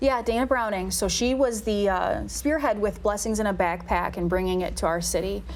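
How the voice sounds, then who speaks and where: A woman talks at a moderate pace, with audible room echo and noticeable background noise. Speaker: city special events staff. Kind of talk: casual interview.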